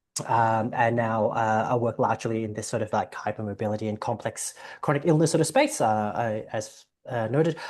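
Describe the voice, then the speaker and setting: Here a man speaks with an Australian accent. His pitch is medium and his pace fairly quick. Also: ordinary pitch variation. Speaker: general practitioner. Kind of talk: presentation. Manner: fast.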